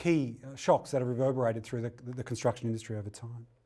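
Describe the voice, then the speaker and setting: Talking at a very fast pace, a man with an Australian accent has a medium pitch and a dark, mellow tone. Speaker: technical director, data specialist. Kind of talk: lecture. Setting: webinar. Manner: hesitant, many fillers.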